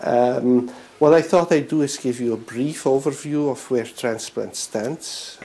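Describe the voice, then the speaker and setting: Noticeable background noise is present. The speaker's intonation remains fairly even. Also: man. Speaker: physician. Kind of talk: lecture. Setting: presentation to an audience. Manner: halting, many fillers.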